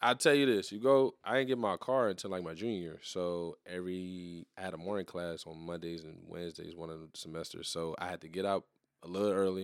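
A man with an American accent, very deep and low in pitch, fairly quick with hardly any pauses, ordinary pitch variation and big swings in loudness, on a very clean recording with a silent background. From Louisiana, New Iberia. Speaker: podcast co-host. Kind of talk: casual chat.

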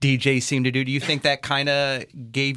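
Bright and sharp in tone, a man talks at a medium pitch and a moderate pace. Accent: American. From Los Angeles. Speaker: podcast host. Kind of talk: interview.

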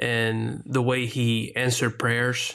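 With a Spanish accent, a man talks at a medium pitch. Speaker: pastor and podcast co-host. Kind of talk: casual podcast chat; spoken prayer.

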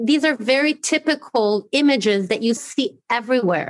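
A woman in a plain, everyday voice speaks at a fairly slow pace with ordinary pitch variation. The sound is dry and close, with no echo. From Brazil, trilingual upbringing (American mother, German father). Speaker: education specialist at an NGO. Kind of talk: interview. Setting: home office, remote.

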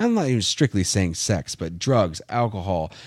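A man's fairly low voice with very wide pitch swings, at a moderate pace. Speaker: event organizer. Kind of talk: casual chat. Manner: talkative.

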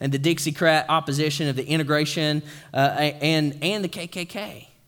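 With an East Tennessee accent, a man talks using fairly even intonation. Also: very clean recording, silent background. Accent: Southern US (East Tennessee). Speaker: pastor. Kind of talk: sermon. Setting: church. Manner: informal, joking.

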